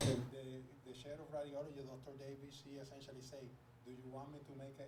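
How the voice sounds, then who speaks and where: A man at medium pitch with a Spanish accent, amid audible room echo and noticeable background noise. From Puerto Rico. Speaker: medical student matched into radiology. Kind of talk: panel discussion.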